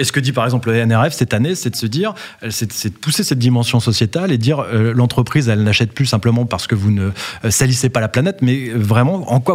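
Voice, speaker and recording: This man talks at a very fast pace with a medium pitch and ordinary pitch variation. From Brittany, France. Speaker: company founder and CEO. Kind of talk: interview. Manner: hesitant, frequent fillers and repetitions.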